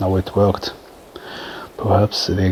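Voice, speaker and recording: With a German accent, a man with a very deep, low pitch talks at a fairly slow pace in fairly even intonation amid noticeable background noise. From Germany. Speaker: gaming YouTuber. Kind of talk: gameplay commentary. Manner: halting, many fillers.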